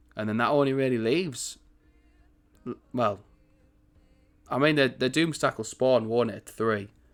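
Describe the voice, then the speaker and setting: Music plays in the background as the voice moves at a moderate pace with ordinary pitch variation. Long pauses come often. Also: man, medium pitch for a man. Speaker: gaming YouTuber. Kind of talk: gameplay commentary. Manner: casual, rambling.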